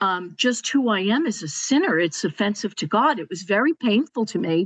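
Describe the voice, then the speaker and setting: Against a quiet background, a woman with a plain, everyday voice speaks at medium pitch and a moderate pace, the sound dry and close with no echo. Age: 60s. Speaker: podcast panelist. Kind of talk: personal testimony in panel discussion.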